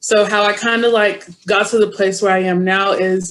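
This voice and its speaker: A woman's unremarkable speaking voice at medium pitch, with an American accent and fairly even intonation. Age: 20s. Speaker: university student. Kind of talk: testimony.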